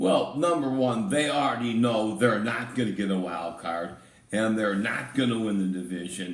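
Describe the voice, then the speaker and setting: A man with a fairly low pitch talks at a moderate pace with lively intonation. Noticeable background noise and audible room echo fill the recording. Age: 70s. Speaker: NFL picks co-host. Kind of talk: casual sports prediction chat. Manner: halting.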